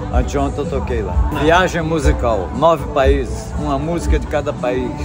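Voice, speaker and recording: A man speaks over clear background music. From Cordeiro, Rio de Janeiro state, Brazil. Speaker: craftsman and musician. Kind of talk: interview answer. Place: market. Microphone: phone near.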